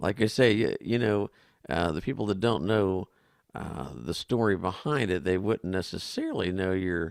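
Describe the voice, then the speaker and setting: A man with a fairly low pitch and a plain, everyday voice, ordinary pitch variation and a moderate pace, in a very clean recording with a silent background and dry, close sound with no echo. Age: 60s. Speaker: talk show co-host. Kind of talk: interview.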